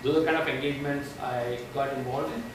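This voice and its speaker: Over noticeable background noise and audible room echo, a man with a fairly high pitch speaks at a very fast pace. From India. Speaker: tech company evangelist. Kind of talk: tech presentation. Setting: meetup talk without microphone. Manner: loud. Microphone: no microphone, far from recording.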